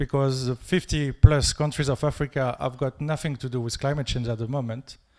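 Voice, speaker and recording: A man's fairly high-pitched voice in a French accent, at a fairly quick pace, monotone and flat, on a very clean recording with a silent background. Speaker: audience member asking a question. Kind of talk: audience question.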